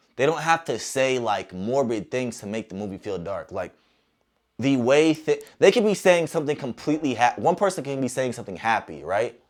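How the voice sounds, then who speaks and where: Speaking at medium pitch, a man keeps a fairly quick pace with an animated tone, lively intonation and big swings in loudness. The recording is very clean, with a silent background. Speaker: movie reviewer. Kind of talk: movie review monologue. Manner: fast.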